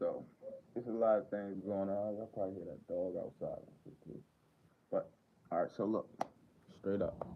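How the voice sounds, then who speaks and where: In a Baltimore accent, a man talks at a moderate pace with big swings in loudness. He leaves long, frequent pauses. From Baltimore, Maryland, US. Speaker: livestreamer. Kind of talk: casual livestream chat.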